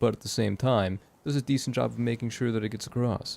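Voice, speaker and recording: A man with an American accent talks very fast, his intonation fairly even. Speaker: gaming streamer. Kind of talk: live gameplay commentary. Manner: fast, sometimes slurs syllables; hesitant, many fillers.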